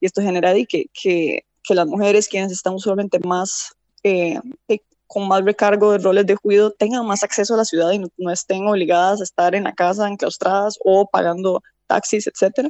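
A woman with an unremarkable speaking voice talks at a moderate pace, medium in pitch, with fairly even intonation. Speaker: environmental engineer, urban planner. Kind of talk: interview.

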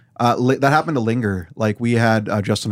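In a Canadian Prairies accent, a man speaks at medium pitch and a moderate pace with ordinary pitch variation, on a very clean recording with a silent background. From Weyburn, Saskatchewan, Canada. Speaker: sound engineer and musician. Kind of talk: casual chat. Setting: home basement recording studio.

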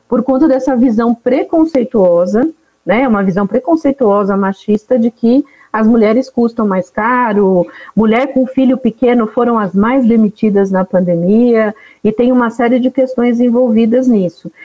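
In a dry, close sound with no echo, a woman speaks fairly slowly with a fairly high pitch, a dark, mellow tone, ordinary pitch variation and very even loudness. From Northeast Brazil (Alagoas interior). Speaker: founder of a women entrepreneurs network. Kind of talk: podcast interview.

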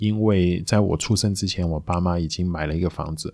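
Captured on a very clean recording with a silent background, a man speaks at a very deep, low pitch. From Macau. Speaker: podcast host. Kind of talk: casual monologue.

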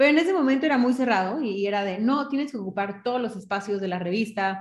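Somewhat breathy, a woman speaks at a very fast pace with ordinary pitch variation. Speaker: fashion stylist and consultant. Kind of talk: interview. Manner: halting, many fillers.

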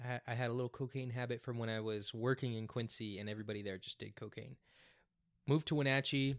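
On a very clean recording with a silent background and a dry, close sound with no echo, a man talks at a very fast pace with fairly even intonation. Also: medium pitch for a man. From small town. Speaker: podcast guest. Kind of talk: casual chat.

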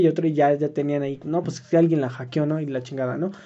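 The speaker talks at a very fast pace with a Mexican accent. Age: 20s. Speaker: podcast co-host and student. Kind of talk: casual chat.

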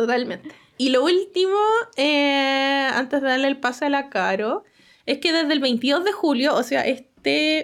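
The speech is very slow, with lively intonation. The recording is very clean, with a silent background. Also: woman. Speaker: science podcast host. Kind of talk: casual chat. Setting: live stream.

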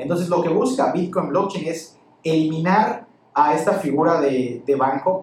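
A man's fairly high voice at a moderate pace, ordinary pitch variation, over noticeable background noise. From Campeche, Mexico. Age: 20s. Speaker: lawyer and crypto enthusiast. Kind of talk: interview.

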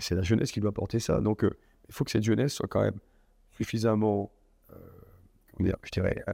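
A man's dark, mellow tone in a dry, close recording with no echo. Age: 60s. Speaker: business executive. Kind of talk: interview.

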